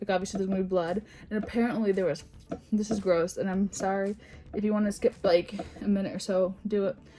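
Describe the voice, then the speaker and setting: With music in the background, a woman talks at a very fast pace and a medium pitch, her intonation fairly even. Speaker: YouTuber. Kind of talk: casual storytime vlog. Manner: halting, many fillers and restarts.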